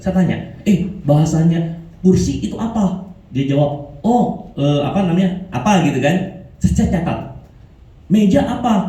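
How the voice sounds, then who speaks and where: Speaking at a moderate pace, a man uses a high pitch and an animated tone. The room echo is audible, and the background noise is noticeable. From Indonesia, Makassar. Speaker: motivational speaker, insurance agent. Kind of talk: motivational talk.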